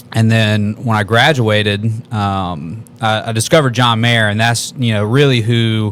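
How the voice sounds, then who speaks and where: In an American accent, the speaker uses a normal speaking voice. Delivery is fairly slow, with fairly even intonation. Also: man. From US South, Columbus, Georgia. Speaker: musician. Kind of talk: casual chat.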